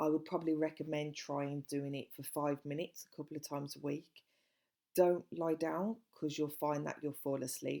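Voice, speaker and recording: In a Birmingham accent, a woman speaks with a very deep, low pitch, a dark, mellow tone and monotone, flat intonation. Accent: Brummie. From Birmingham, English Midlands. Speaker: life coach and podcast host. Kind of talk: self-help podcast monologue.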